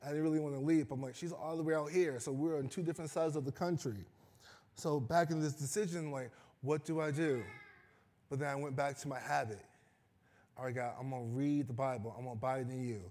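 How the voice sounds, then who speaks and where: A man with an American accent talks at a very fast pace in a fairly high pitch, his tone dark and mellow and his pitch variation ordinary. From Chicago. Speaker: preacher. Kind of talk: sermon.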